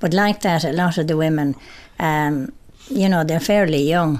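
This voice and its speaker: In an Irish accent, a woman speaks at a moderate pace with a very deep, low pitch and ordinary pitch variation. The recording is very clean, the background silent. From Ireland, County Clare. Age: 70s. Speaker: amateur cyclist. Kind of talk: interview.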